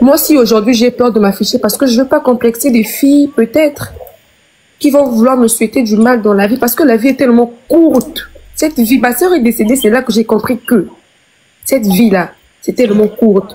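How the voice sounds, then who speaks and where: At a moderate pace, a woman talks at a high pitch with very even loudness. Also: ordinary pitch variation. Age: 20s. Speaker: live stream guest sharing personal story. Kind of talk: emotional testimony on a live stream. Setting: live stream. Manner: halting, repeating words.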